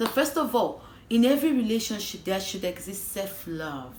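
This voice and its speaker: A woman's medium-pitched voice with lively intonation, over noticeable background noise. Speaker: relationship advice vlogger. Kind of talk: casual vlog monologue. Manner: fast.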